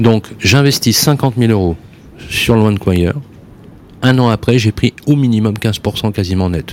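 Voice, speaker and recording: A man at medium pitch, speaking at a very slow pace with long, frequent pauses and ordinary pitch variation, over noticeable background noise. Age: 50s. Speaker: radio host. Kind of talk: radio talk show. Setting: studio. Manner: animated.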